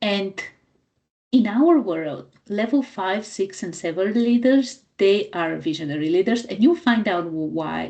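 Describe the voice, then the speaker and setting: With a non-native accent, this voice has a dark, mellow tone and lively intonation. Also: woman. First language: not English. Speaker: business coach. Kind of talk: training talk. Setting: recorded live for club members.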